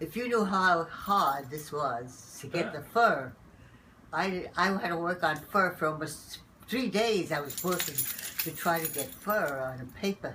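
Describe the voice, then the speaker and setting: A woman speaks at a fairly low pitch and a fairly slow pace, her intonation lively. Noticeable background noise is present. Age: 90s. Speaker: painter. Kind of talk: interview answer.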